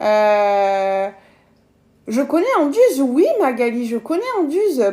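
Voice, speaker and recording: A woman's voice over noticeable background noise. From southern France, Gard. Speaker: cooking live streamer, kitchen appliance demonstrator. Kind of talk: live cooking stream. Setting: at home. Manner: casual, chatty.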